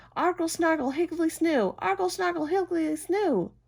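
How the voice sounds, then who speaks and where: A woman's loud, squeaky, put-on character voice, shouting at an extremely high pitch and a moderate pace. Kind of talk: bedtime story. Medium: read story. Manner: loud, yelling.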